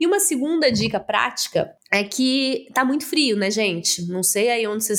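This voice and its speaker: A woman talks in a plain, everyday voice. Her pitch is fairly high and her pace is moderate. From Brazil, interior of Minas Gerais. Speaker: podcast host. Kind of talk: interview.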